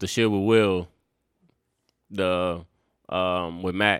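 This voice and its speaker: With a monotone, flat intonation and long, frequent pauses, a man speaks on a very clean recording with a silent background. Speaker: podcast host. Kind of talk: casual chat.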